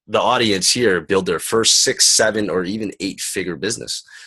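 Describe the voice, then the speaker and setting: With a Canadian accent, a man has a plain, everyday voice. He talks at a moderate pace with fairly even intonation. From Canada. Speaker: summit interview host. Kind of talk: online interview. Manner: casual.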